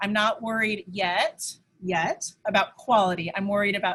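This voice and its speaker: A normal speaking voice, a woman's, fairly high and fairly slow. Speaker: elementary school teacher. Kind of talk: virtual parent information night with screen share.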